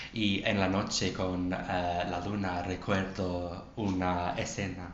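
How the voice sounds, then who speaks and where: With an English accent, a man speaks very slowly in a very deep, low, monotone voice, with audible room echo and noticeable background noise. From England. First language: English (speaking Spanish). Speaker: English teacher and Spanish learner. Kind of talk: casual chat. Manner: halting, many hesitations.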